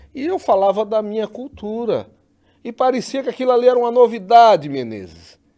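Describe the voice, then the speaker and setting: A man with a northeastern Brazilian accent speaks at an extremely high pitch with ordinary pitch variation and a dark, mellow tone. His pace is fairly quick, and the recording is very clean with a silent background. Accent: northeastern Brazilian, kept. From Northeast Brazil. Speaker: podcast host. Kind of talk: interview.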